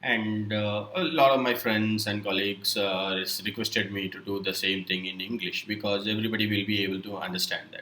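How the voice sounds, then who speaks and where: Hardly any pauses break this man's fairly quick speech. He has a Keralan accent, a fairly low pitch and fairly even intonation. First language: Malayalam. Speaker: software tutorial creator. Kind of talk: tutorial. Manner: halting, many fillers.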